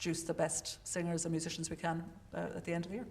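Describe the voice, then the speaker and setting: An Irish accent with audible room echo. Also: woman. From Ireland. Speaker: opera vocal coach and administrator. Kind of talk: panel introduction. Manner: fast.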